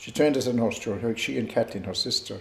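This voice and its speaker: With lively intonation, a man talks in a Tipperary accent, and the room echo is audible. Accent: Irish, Tipperary. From Ireland, Co. Tipperary. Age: 70s. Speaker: retired community figure recalling family history. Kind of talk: oral history interview. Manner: hesitant, with many fillers.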